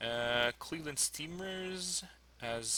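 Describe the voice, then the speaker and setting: A man speaks with lively intonation in a bright, sharp tone. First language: French. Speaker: fantasy sports player, English teacher. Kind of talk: live commentary of own draft. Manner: hesitant, many fillers.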